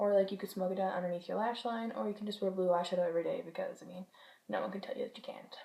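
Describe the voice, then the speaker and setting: A woman's somewhat breathy voice at medium pitch, very fast, with fairly even intonation. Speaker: beauty vlogger. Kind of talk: product review monologue.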